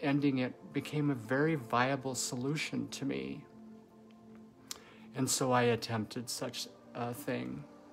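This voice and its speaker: A woman with a very deep, low pitch speaks at a fairly slow pace, her voice showing vocal fry. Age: 50s. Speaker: nurse and video blogger. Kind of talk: personal testimony.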